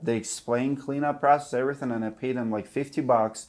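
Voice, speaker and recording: On a very clean recording with a silent background, a man with a non-native accent speaks at a medium pitch and a fairly quick pace with ordinary pitch variation. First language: not English. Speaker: roofing business owner and channel host. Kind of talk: casual interview chat.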